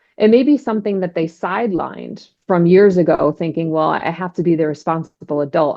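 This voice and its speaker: A woman with an unremarkable speaking voice, fairly low in pitch, at a fairly quick pace with ordinary pitch variation. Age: 40s. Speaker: divorce and life coach. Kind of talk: interview conversation.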